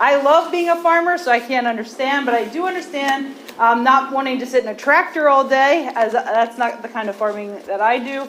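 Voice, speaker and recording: A woman speaks loudly in a high pitch at a fairly quick pace, with ordinary pitch variation. Noticeable background noise runs under her voice. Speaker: agriculture professor and farmer. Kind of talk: presentation to county commissioners. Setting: county commissioners meeting, standing at a microphone.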